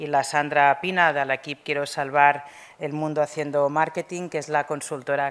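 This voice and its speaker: A woman's voice sits at a very deep, low pitch. She talks at a moderate pace. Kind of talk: formal welcome speech. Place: hall. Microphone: podium.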